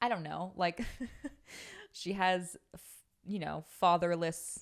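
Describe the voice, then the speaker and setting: A woman speaks at a very slow pace in an American accent. Her pitch is fairly low. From West Virginia. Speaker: podcast host. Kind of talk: casual chat. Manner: halting.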